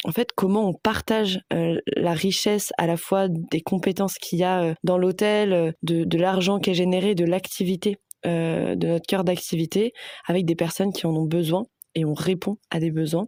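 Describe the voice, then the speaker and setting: The voice has a dark, mellow tone, very even loudness and fairly even intonation, with a dry, close sound and no echo. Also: woman, fairly low pitch for a woman, moderate pace. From Paris suburbs, France. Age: 20s. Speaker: sustainability manager. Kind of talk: interview testimony. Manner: hesitant, many fillers.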